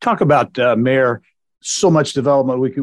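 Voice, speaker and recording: An ordinary speaking voice from a man, medium in pitch, at a moderate pace with fairly even intonation, in a dry, close sound with no echo against a quiet background. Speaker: podcast host. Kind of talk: interview, host intro.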